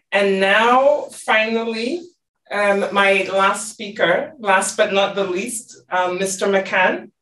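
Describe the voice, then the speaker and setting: Against light background noise and audible room echo, a woman with a bright, sharp tone talks at a very slow pace with ordinary pitch variation. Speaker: senior UN official, panel moderator; panel moderator. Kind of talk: formal panel moderation. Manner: formal. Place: office. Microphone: video call.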